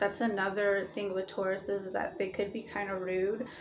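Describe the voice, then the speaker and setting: Room echo can be heard around the voice. The woman talks at a moderate pace. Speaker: astrology vlogger. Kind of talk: casual vlog monologue. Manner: hesitant, many fillers.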